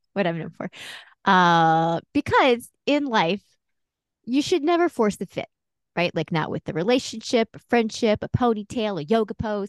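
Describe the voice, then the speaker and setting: The voice moves at a moderate pace in an animated, playful tone, its pitch swinging very widely, with a dry, close sound and no echo. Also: woman, fairly high pitch for a woman. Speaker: podcast host. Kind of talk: casual chat.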